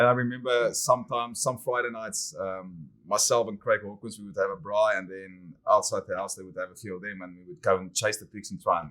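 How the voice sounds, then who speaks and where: In a South African accent, a man talks at a fairly quick pace with hardly any pauses, a bright, sharp tone and ordinary pitch variation. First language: Afrikaans. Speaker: winemaker. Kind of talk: casual interview chat. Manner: hesitant, many fillers.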